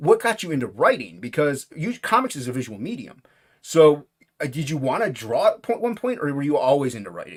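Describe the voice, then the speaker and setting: A man's voice with vocal fry, very wide pitch swings and a fairly quick pace. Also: fairly high pitch for a man. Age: 40s. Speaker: podcast host. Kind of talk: casual chat.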